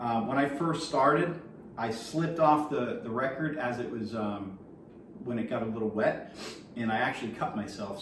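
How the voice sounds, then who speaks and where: A man is speaking with noticeable background noise. Room echo is audible too. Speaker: vinyl collector YouTuber. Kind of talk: tutorial. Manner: casual, hesitant with fillers.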